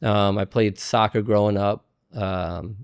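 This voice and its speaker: In a very clean recording with a silent background, a man with an American accent talks in a fairly low, monotone, flat voice. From New Jersey, US. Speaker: real estate investor and broker. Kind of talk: interview, casual conversation.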